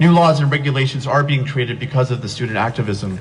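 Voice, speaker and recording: Fairly quick speech with audible room echo and noticeable background noise. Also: man. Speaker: teacher speaking at rally. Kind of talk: rally speech. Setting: outdoor rally with crowd. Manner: fast.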